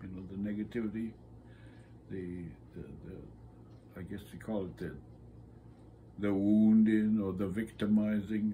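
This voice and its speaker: A dark, mellow, somewhat breathy voice moves at a fairly slow pace over light background noise. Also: man. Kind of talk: interview answer. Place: home room. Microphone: phone near.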